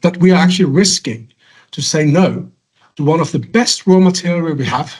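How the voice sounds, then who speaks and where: With a Norwegian accent, a man speaks at a high pitch and a fairly quick pace, with ordinary pitch variation. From western Norway. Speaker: salmon feed industry speaker. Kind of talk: conference presentation. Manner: halting.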